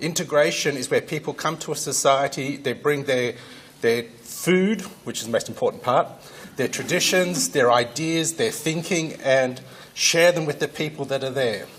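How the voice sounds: The voice has a fairly bright tone and ordinary pitch variation. It moves at a moderate pace. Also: man, medium pitch for a man.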